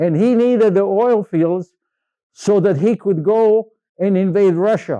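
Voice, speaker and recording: A man with a Croatian accent has a high pitch and a dark, mellow tone. His loudness stays very even, in a dry, close sound with no echo. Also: ordinary pitch variation. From Yugoslavia (Croatia, Zagreb). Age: 80s+. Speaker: Holocaust survivor speaker. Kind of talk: public talk with slides. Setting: library event with audience. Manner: halting, repetitive.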